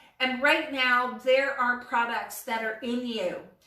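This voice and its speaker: Audible room echo surrounds a woman whose high pitch comes with a bright, sharp tone. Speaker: vlogger reviewing an online business course. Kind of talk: casual monologue to camera. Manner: animated; halting, many fillers.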